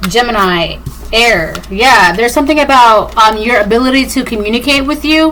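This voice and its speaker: A woman speaks with a high pitch. Audible room echo and noticeable background noise surround her. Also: ordinary pitch variation, moderate pace. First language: Spanish. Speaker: tarot reader. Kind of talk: collective tarot reading monologue.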